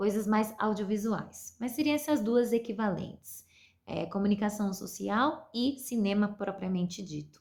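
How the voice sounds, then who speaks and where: A woman speaks at a fairly slow pace. Her voice is somewhat breathy, with ordinary pitch variation. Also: medium pitch for a woman. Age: 20s. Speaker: university film student. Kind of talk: mini-lesson for school pupils. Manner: halting, many fillers.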